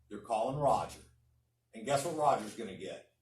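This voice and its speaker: With lively intonation, a man speaks in a room with audible echo. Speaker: real estate coach. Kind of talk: coaching talk. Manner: loud; animated.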